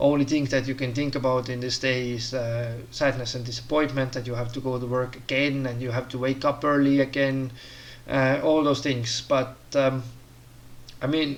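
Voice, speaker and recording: A man with a non-native accent speaks in a monotone, flat intonation. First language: not English. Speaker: career advice vlogger. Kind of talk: casual monologue tutorial. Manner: hesitant, many fillers.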